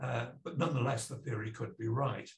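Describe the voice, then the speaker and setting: This speaker, with a North Welsh accent, shows vocal fry and ordinary pitch variation. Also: man. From North Wales. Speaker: professor. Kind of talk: lecture. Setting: video call. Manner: hesitant, frequent uh fillers. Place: home room. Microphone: webcam.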